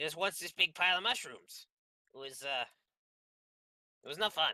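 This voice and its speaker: With a dry, close sound and no echo, a man puts on a character voice at a high pitch with lively intonation. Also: moderate pace. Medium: actual play. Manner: rambling, nervous.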